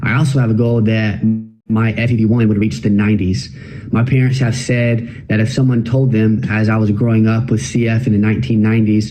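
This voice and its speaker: With music in the background and audible room echo, a man talks at a fairly quick pace and medium pitch, with ordinary pitch variation and very even loudness. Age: 20s. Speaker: cystic fibrosis patient. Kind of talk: testimony.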